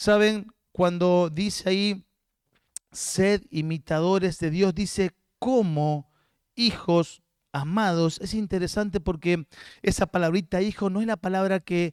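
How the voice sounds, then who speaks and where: A man with a high pitch and fairly even intonation speaks very slowly. The recording is very clean and dry, with a silent background and no echo. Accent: Rioplatense. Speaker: guest pastor. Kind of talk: sermon.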